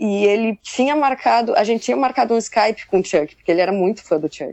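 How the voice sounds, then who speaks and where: An ordinary speaking voice from a woman, at a medium pitch and with ordinary variation in pitch. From Southern Brazil, Pelotas, Rio Grande do Sul. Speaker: musician, drummer. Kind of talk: casual interview chat.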